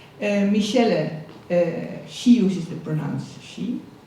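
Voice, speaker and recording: Audible room echo is present. Noticeable background noise runs throughout. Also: woman. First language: not English. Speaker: conference moderator. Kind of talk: event introduction.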